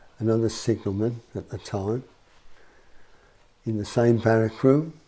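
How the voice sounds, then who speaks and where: Fairly even intonation goes with a dark, mellow tone in this voice. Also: man. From West Midlands, Birmingham. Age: 70s. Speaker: person with memory problems, ex-army signalman. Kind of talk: interview. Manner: halting.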